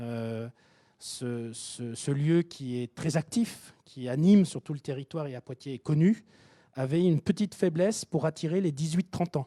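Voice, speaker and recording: A man with a Japanese accent talks at a fairly slow pace in a fairly high voice with a dark, mellow tone and lively intonation. His loudness swings widely, and the sound is dry and close with no echo. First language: Japanese (speaking French). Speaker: tech company founder presenting at a workshop. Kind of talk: conference presentation. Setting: hybrid event, live audience and online. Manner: hesitant, many repetitions.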